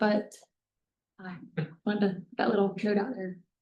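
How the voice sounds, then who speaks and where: A woman's somewhat breathy voice carries a dark, mellow tone and fairly even intonation. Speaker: transportation agency grants official. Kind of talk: meeting update. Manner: fast.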